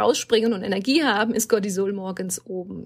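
This woman has a plain, everyday voice. Her pitch is fairly high and her pace moderate. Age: 40s. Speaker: hormone coach and burnout therapist. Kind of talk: interview. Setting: video call.

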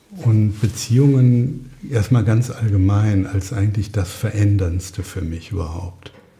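Over noticeable background noise, the speech moves at a fairly slow pace with hardly any pauses and ordinary pitch variation. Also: man, fairly low pitch for a man. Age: 60s. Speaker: psychotherapist. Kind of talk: casual interview. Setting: his dining room.

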